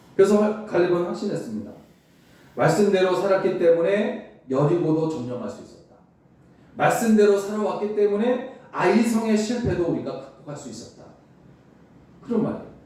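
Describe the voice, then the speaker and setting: Against noticeable background noise and audible room echo, a man with a high pitch speaks at a moderate pace with lively intonation, big swings in loudness, and long, frequent pauses. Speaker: pastor. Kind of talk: sermon.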